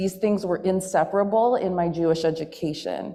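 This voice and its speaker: Shaky, dark and mellow in tone, with an American accent, a moderate pace and fairly even intonation. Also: woman. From US Midwest, Milwaukee, Wisconsin. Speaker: spoken word poet and activist. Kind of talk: speech. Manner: shaky voice.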